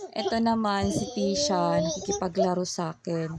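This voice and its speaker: Noticeable background noise accompanies a woman talking fairly slowly. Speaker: vlogger, stay-at-home mom. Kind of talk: vlog voice-over narration. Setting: home, partly outdoors.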